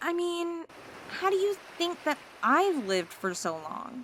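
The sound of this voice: Putting on a character voice, a woman speaks at a slow pace with an extremely high pitch, big pitch swings and a fairly bright tone.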